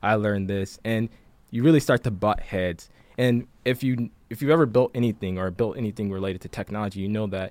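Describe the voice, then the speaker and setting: In an unremarkable speaking voice, a man talks at a fairly low pitch and a fairly quick pace with ordinary pitch variation, in a very clean recording with a silent background. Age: 20s. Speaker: chief product officer. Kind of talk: casual chat.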